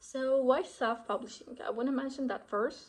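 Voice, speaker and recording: A woman is speaking. She has a Turkish accent. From Turkey. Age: 20s. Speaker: author and lifestyle vlogger. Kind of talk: casual vlog. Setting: getting ready at home.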